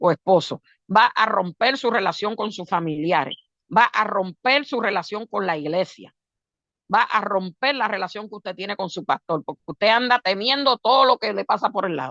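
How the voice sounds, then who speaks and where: Her tone bright and sharp, a woman speaks at a moderate pace with lively intonation, the sound dry and close with no echo. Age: 60s. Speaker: preacher. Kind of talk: sermon.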